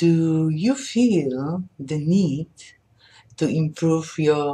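Very slowly, a woman speaks in a Polish accent, somewhat breathy, with a dark, mellow tone, very deep, low pitch and lively intonation. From Poland. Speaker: language teacher. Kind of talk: sales pitch. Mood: warm, smiling, cheerful. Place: home room. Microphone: webcam.

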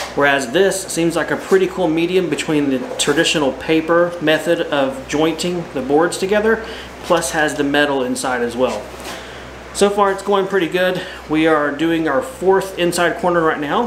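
Delivered at a moderate pace with ordinary pitch variation, the speech has noticeable background noise. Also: man, high pitch for a man. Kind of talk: casual vlog tutorial. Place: home room. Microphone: phone near.

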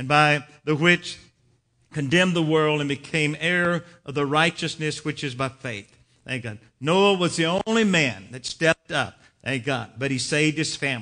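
The man's tone is bright and sharp, with ordinary pitch variation. He talks at a moderate pace over a quiet background. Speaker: preacher. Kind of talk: sermon. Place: church.

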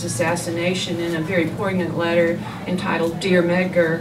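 There is noticeable background noise. Over it, a woman speaks with a fairly low pitch. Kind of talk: lecture. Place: shop.

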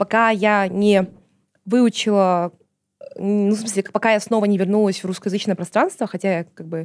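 The recording of this woman is very clean, with complete silence behind her. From Kazakhstan, outside Almaty. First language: Kazakh (speaking Russian). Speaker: journalist, activist and screenwriter. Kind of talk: casual interview chat.

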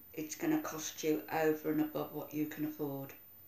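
The delivery moves at a fairly quick pace. Room echo is audible. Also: woman. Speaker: video diarist. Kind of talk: casual vlog chat. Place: home room. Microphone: phone near.

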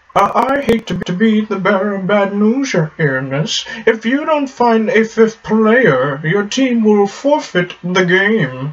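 Pitched fairly high and paced fairly slowly, this is a put-on character voice.

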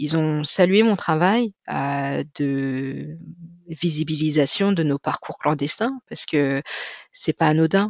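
This woman talks at a very slow pace. Her pitch is very deep and low, with ordinary variation. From France, of Chinese heritage. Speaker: mother in a two-mother family. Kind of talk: interview testimony. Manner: hesitant, many fillers.

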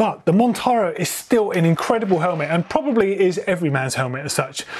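With ordinary shifts in pitch, a man gets through his words at a fairly quick clip. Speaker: presenter. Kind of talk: product review chat. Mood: enthusiastic. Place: studio.

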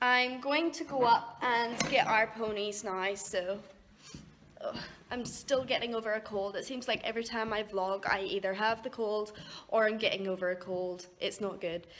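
A woman keeps a moderate pace, her pitch showing ordinary variation. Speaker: horse owner vlogger. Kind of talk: casual vlog chat. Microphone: phone near.

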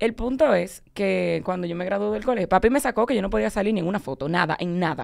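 A woman talking very fast with vocal fry, very wide pitch swings and hardly any pauses, over a quiet background. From Dominican Republic. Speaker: guest's daughter; guest. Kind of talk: casual chat. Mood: animated, laughing storytelling. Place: studio. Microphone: studio mic.

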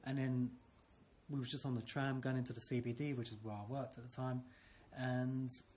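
Over light background noise, a man with a British accent speaks somewhat breathily at a fairly quick pace. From UK. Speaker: school teacher. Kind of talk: interview. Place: classroom. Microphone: phone near.

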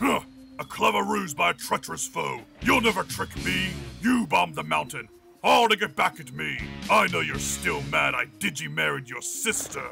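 Clear music plays in the background as a man speaks at a moderate pace in a put-on character voice. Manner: blustering, dopey, boastful.

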